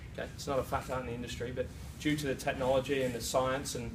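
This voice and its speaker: A man at medium pitch with a British accent, very fast pace and fairly even intonation, amid audible room echo and noticeable background noise. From UK. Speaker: presenter at a sales meeting, fitness trainer. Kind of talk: sales presentation. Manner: hesitant fillers.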